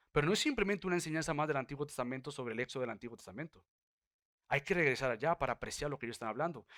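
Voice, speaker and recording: In a dry, close sound with no echo, a man talks at a very fast pace, fairly high in pitch, with ordinary pitch variation. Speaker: pastor. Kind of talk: sermon. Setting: church.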